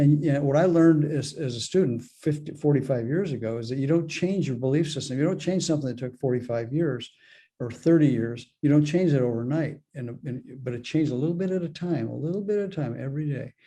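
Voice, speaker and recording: This man talks at a very fast pace in a fairly high pitch. His tone is dark and mellow, and somewhat breathy. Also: ordinary pitch variation. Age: 70s. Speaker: spiritual author and mentor. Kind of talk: interview. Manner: halting, frequent repetitions.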